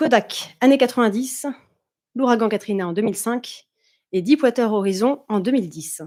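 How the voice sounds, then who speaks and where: A woman's fairly high-pitched voice carries a dark, mellow tone and lively intonation. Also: very clean recording, silent background. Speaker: conference speaker, consultant and former doctor. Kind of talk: conference talk. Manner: fast.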